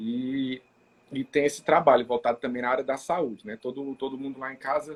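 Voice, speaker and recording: A man speaks at a moderate pace with a Ceará accent. His pitch sits in the medium range. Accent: Brazilian Portuguese, Ceará (northeastern). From Maracanaú, Ceará, Brazil. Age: 30s. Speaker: city councillor and physiotherapist. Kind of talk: live interview chat.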